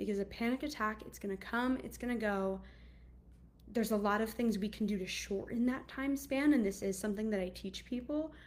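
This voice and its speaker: At a fairly quick pace, a somewhat breathy woman talks with a fairly high pitch and ordinary pitch variation. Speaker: anxiety coach. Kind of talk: casual monologue. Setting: video call.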